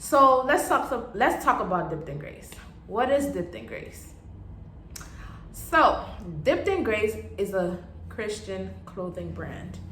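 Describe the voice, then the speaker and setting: A woman speaking at a fairly slow pace with long, frequent pauses, amid audible room echo and noticeable background noise. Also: big swings in loudness. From Haiti. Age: 20s. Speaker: vlogger and clothing brand owner. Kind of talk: casual vlog introduction.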